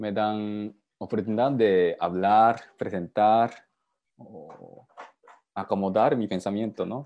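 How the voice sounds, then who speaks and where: Very slowly and with a Japanese accent, a man speaks in a fairly low voice with a dark, mellow tone, fairly even intonation and big swings in loudness. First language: Japanese (speaking Spanish). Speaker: father. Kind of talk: video call interview. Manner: halting.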